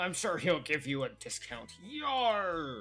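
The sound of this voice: Using a put-on character voice, the speaker talks at a middle pitch and a fairly slow pace.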